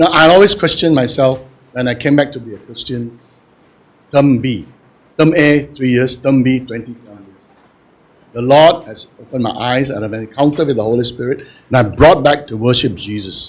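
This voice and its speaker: Speaking at a moderate pace and medium pitch, a man shows ordinary pitch variation, big swings in loudness and long, frequent pauses. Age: 60s. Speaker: audience member asking a question. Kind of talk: audience question at book launch. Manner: animated.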